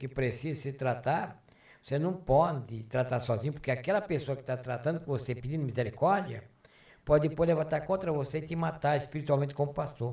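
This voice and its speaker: Somewhat breathy and dark, mellow in tone, a man's fairly high voice moves at a moderate pace with ordinary pitch variation. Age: 70s. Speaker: retired pastor. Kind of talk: interview.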